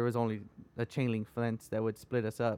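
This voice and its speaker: In an American accent, a man with a plain, everyday voice speaks at a moderate pace and medium pitch, the sound dry and close with no echo. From Texas, Rio Grande Valley (Edinburg). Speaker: guest sharing life story. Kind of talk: casual chat.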